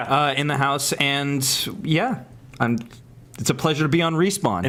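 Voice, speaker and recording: Over noticeable background noise, a man talks at a moderate pace in a fairly high pitch, with ordinary pitch variation and very even loudness. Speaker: entertainment show host; podcast guest.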